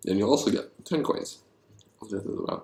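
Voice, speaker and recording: Fairly quick pace from a man. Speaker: board game designer, YouTuber. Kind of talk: solo thinking aloud while designing games. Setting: alone at night. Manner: quiet, not very loud; hesitant, many fillers.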